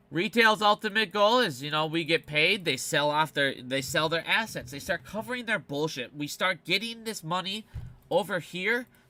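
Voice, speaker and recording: With music in the background, a man speaks at a moderate pace in a high pitch, his tone animated and his intonation lively. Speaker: finance video commentator. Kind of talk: casual explainer monologue.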